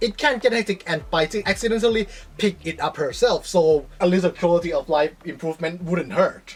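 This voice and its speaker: A woman speaks with a non-native accent at a moderate pace. Her pitch is fairly low. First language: not English. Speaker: gaming video creator. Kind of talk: scripted commentary.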